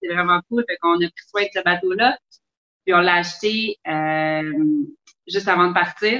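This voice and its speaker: A woman with a fairly low pitch speaks fairly slowly, with long, frequent pauses and ordinary pitch variation. Music plays in the background, and the sound is dry and close with no echo. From Quebec, Longueuil. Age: 30s. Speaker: sailor and traveler. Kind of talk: casual interview.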